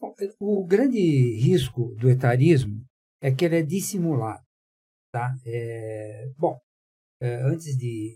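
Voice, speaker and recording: A man at medium pitch, somewhat breathy with a dark, mellow tone, at a very slow pace with lively intonation and long, frequent pauses. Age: 70s. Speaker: panel guest on ageism. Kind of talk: panel discussion. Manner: hesitant, many fillers.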